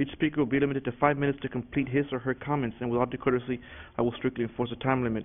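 A man rushes along at a very fast pace with a medium pitch and monotone, flat intonation. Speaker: school board president. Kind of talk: chairing a formal public meeting. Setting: public meeting room.

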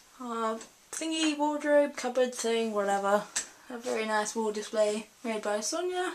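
A woman talks very slowly while light background noise is heard. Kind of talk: casual vlog tour. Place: bathroom. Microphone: phone near.

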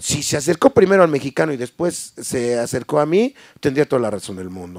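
Over a quiet background, a man's fairly high voice makes very wide pitch swings in a dry sound with no echo. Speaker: sound system owner; interviewee. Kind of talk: casual interview. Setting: livestream from warehouse. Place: studio. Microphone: handheld.

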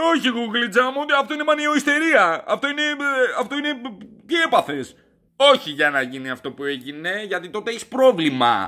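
Against a quiet background, a man with an extremely high pitch shouts in a raised, projected voice, his furious, animated tone bright and sharp, his pitch swinging very widely at a moderate pace. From Greece. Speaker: comedy vlogger. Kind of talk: angry rant / comedy review. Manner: loud, furious, sweary and sarcastic; animated, exasperated, repeating words and stuttering. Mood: mock outrage. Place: home room. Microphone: webcam.

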